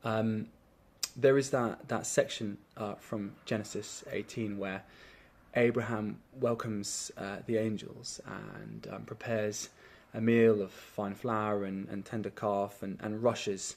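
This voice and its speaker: This man has an English accent and talks at a fairly slow pace. His intonation is flat and monotone, while his loudness swings widely. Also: fairly low pitch for a man. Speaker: teacher. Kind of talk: testimony. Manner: halting, many fillers.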